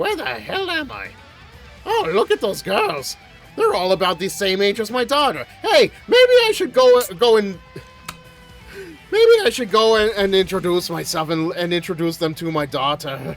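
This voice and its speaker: A man's put-on character voice, high-pitched for a man, at a moderate pace over clear background music. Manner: gruff, scratchy.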